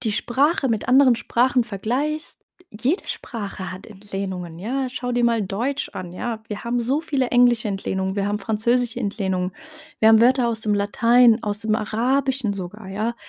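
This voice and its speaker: A woman with a Moroccan accent speaks at a moderate pace and a fairly high pitch, with ordinary pitch variation, in a dry, close sound with no echo. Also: very clean recording, silent background. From Germany, Heidelberg. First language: Tarifit (speaking German). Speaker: podcast host. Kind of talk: solo monologue podcast. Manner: casual, many filler sounds.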